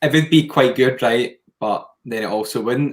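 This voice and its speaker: Speaking with a Scottish accent, a man keeps a medium pitch, a moderate pace and fairly even intonation. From Scotland. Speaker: podcast co-host. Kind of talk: casual chat.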